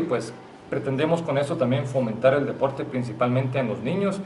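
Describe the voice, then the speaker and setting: Talking very fast with ordinary pitch variation, a man is heard with audible room echo and light background noise. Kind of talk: press conference statement. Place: meeting room.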